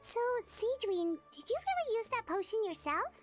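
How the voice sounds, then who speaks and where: Putting on a squeaky character voice, a woman speaks in an extremely high pitch with lively intonation while faint music plays in the background. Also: moderate pace. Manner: curious, surprised.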